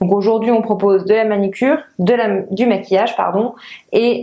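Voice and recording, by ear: The voice has a dark, mellow tone. It moves at a moderate pace with ordinary pitch variation. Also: woman.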